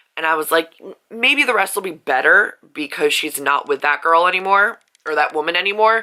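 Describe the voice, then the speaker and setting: At a fairly quick pace, a woman speaks at a medium pitch with a bright, sharp tone and lively intonation. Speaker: book vlogger. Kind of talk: casual vlog. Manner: casual, filler-heavy.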